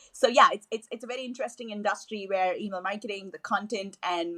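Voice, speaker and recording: Bright and sharp in tone, the voice carries a Tamil accent. It moves at a very fast pace, with a dry, close sound and no echo. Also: woman. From southern India, Chennai. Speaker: email marketing manager. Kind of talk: podcast interview.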